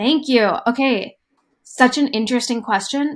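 In a very clean recording with a silent background, a woman with a plain, everyday voice speaks at a fairly slow pace with ordinary pitch variation. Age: 20s. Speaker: entrepreneur and startup advisor. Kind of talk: casual interview conversation.

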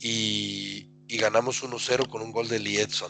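Music plays in the background. A man speaks in a monotone, flat intonation. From Mexico (Atlixco, Puebla). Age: 40s. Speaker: football fan, podcast guest. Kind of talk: casual chat.

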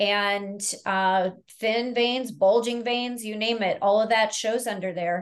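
Against a quiet background, a woman with a fairly high pitch talks at a very slow pace with fairly even intonation. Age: 50s. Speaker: naturopathic doctor. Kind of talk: interview.

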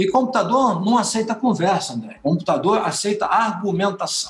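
A man speaks at a moderate pace. His voice is high in pitch. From Brazil, Rio de Janeiro then São Paulo. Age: 50s. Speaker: accountant, business owner. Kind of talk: interview.

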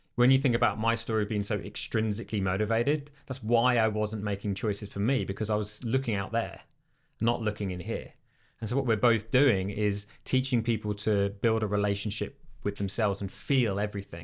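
A man's fairly low voice with an English accent, fairly even intonation and a fairly quick pace, on a very clean recording with a silent background. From England. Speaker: life and business coach. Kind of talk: casual interview. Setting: studio.

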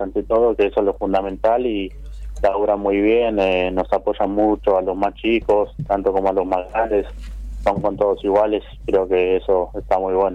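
Here a man speaks at a fairly low pitch. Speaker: footballer. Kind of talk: interview. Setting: phone call.

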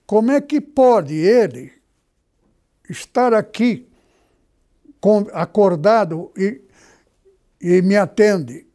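A man with a high pitch and a dark, mellow tone speaks at a very slow pace, his loudness very even, his intonation lively, and his pauses long and frequent. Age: 80s+. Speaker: pastor. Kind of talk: sermon. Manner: halting.

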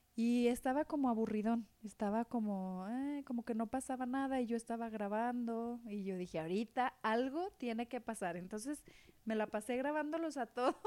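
This voice has a dark, mellow tone, a moderate pace and ordinary pitch variation. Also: woman, fairly high pitch for a woman. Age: 40s. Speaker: podcast co-host. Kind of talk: casual chat.

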